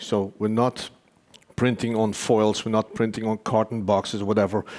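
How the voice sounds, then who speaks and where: His is an unremarkable speaking voice, a man's medium pitch carried with fairly even intonation. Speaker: company executive presenting his technology. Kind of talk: conference presentation.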